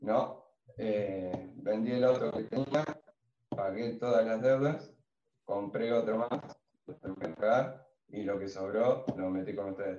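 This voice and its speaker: A man speaks at a very slow pace. His pitch sits in the medium range. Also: ordinary pitch variation. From Argentina, Santa Fe province (Villa Constitución area). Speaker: shoe designer and retail investor. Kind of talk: casual chat, personal testimony.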